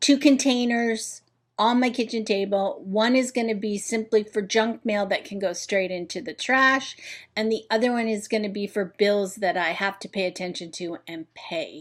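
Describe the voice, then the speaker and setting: An unremarkable speaking voice belonging to a woman, fairly high in pitch with ordinary pitch variation, comes at a moderate pace on a very clean recording with a silent background. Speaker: home organizing vlogger. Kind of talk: tutorial.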